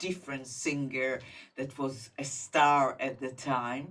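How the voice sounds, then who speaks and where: A woman's very deep, low pitch with an Israeli accent. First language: Hebrew. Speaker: singer-songwriter. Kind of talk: interview. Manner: halting.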